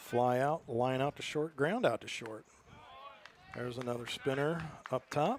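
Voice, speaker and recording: Fairly high male voice at a moderate pace, with ordinary pitch variation and long, frequent pauses. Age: 60s. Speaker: baseball play-by-play announcer. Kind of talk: live sports commentary.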